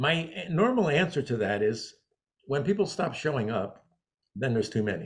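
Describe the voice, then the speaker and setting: A somewhat breathy man speaks at a moderate pace in a medium-pitched voice that swings very widely in pitch. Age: 70s. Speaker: interviewer in the floral wholesale trade. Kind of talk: interview. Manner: halting.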